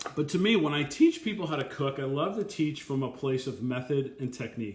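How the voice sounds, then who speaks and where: There is audible room echo as a man talks at a fairly quick pace with lively intonation. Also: fairly high pitch for a man. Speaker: chef. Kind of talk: live Q&A. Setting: live video stream. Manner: fast; animated. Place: kitchen. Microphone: webcam.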